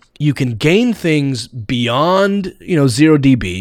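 A man's fairly high voice at a very slow pace, with very wide pitch swings. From Texas, near Fort Worth. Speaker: comedian and podcast host. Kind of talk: casual interview.

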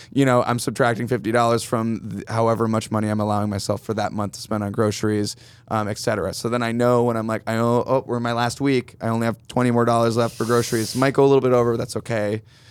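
A man with an American accent at a very fast pace, monotone and flat, with hardly any pauses. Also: medium pitch for a man. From upstate New York, Finger Lakes. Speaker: guitarist. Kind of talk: casual chat. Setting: studio.

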